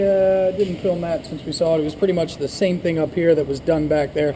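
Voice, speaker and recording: Amid noticeable background noise, a man with a fairly high pitch speaks at a fairly quick pace with ordinary pitch variation. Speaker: auto mechanic. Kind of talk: tutorial. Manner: casual, filler-heavy.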